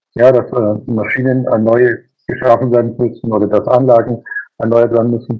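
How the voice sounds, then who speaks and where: A man with a medium pitch talks at a moderate pace in a monotone, flat intonation. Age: 50s. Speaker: master baker and business owner. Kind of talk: interview. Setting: video call.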